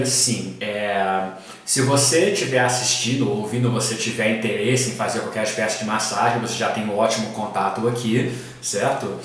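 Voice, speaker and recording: A man with an English accent speaks at a moderate pace and medium pitch. Noticeable background noise and audible room echo are present. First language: English (speaking Portuguese). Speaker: podcast host and teacher. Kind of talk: casual interview chat. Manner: halting, many fillers.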